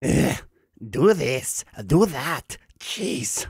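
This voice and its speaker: A man performs a put-on character voice at medium pitch. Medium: read story. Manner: sneering, petulant.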